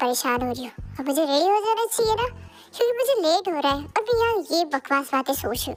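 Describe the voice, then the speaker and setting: A woman puts on a character voice with very wide pitch swings, and faint music plays in the background. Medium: read story. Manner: soft, hesitant.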